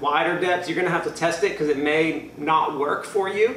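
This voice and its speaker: A man's high-pitched voice at a moderate pace, with audible room echo and light background noise. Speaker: home gym content creator. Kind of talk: casual tutorial. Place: garage. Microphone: camera far.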